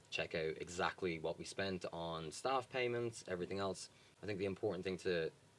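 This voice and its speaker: With a Dublin accent, a man speaks at a very deep, low pitch and fairly quick pace, using ordinary pitch variation. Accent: Dublin Irish. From Ireland, Dublin. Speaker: charity worker. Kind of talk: interview.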